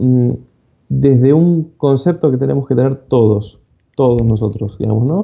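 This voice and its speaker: This man talks in a medium pitch with ordinary pitch variation. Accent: Argentine. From Argentina. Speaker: cybersecurity speaker. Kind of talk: conference talk. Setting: online conference. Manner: fast.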